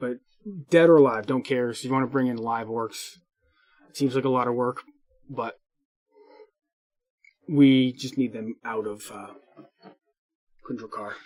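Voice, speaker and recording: A gruff, put-on character voice from a man at a medium pitch, moderate in pace with long, frequent pauses. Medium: actual play. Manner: gruff, curt.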